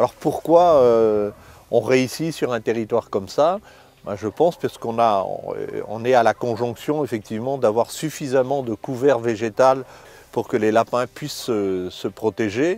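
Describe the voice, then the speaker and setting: With big swings in loudness, a man speaks at a fairly slow pace, his medium-pitched voice showing ordinary pitch variation. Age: 60s. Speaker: rabbit hunter, hunting club vice-president. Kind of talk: interview in a hunting documentary. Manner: hesitant, many fillers and repetitions.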